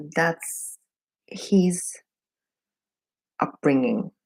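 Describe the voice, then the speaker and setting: A woman in a Russian accent, at a very slow pace. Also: dry, close sound with no echo. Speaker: beauty vlogger. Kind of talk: casual get-ready-with-me chat. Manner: halting, many fillers.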